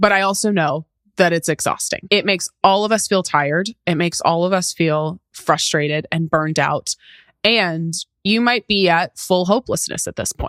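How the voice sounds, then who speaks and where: A woman with a plain, everyday voice speaks at a medium pitch and a moderate pace. Her pitch varies in an ordinary way, and the sound is dry and close, with no echo. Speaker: podcast host. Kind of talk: podcast interview, casual talk.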